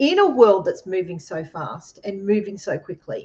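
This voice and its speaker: A somewhat breathy woman with an Australian accent, lively intonation and a moderate pace. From Australia, Queensland (Redcliffe, near Brisbane). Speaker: co-host. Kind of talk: casual chat.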